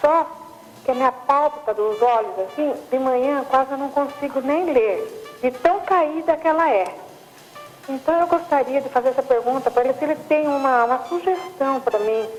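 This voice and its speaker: Over music in the background, a woman speaks at a high pitch and a moderate pace with ordinary pitch variation. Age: 60s. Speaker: caller. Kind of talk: call-in question.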